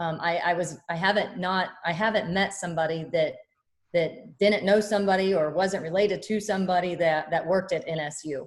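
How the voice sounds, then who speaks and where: Speaking with a Midwestern American accent, a woman keeps a medium pitch and fairly even intonation at a fairly quick pace. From Kansas (Topeka). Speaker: college basketball head coach. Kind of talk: press conference. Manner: loud.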